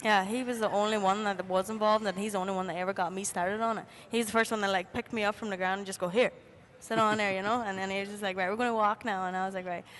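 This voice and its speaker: An Irish accent marks this woman's speech at a medium pitch. She talks at a very fast pace. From Ireland. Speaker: jockey. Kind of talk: interview. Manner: animated.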